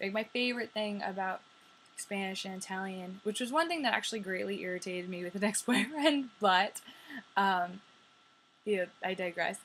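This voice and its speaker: A woman has an unremarkable speaking voice at a medium pitch. She talks at a moderate pace with ordinary pitch variation. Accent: American. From New York. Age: 20s. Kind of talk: casual talk to camera. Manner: chatty, upbeat.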